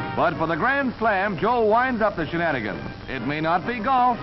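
A man talks at a moderate pace in a high voice with very wide pitch swings. Music plays in the background. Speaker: newsreel narrator. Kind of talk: newsreel narration.

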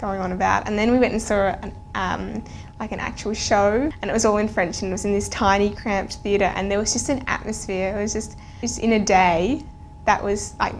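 A woman speaks at a fairly quick pace with fairly even intonation. Light background noise is present. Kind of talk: interview answer. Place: studio.

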